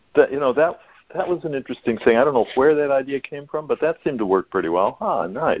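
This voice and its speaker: Using lively intonation, a man with an unremarkable speaking voice and an American accent speaks at a fairly quick pace and a fairly high pitch. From US Midwest, Minnesota. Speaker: university teacher, caller. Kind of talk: call-in conversation. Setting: phone call.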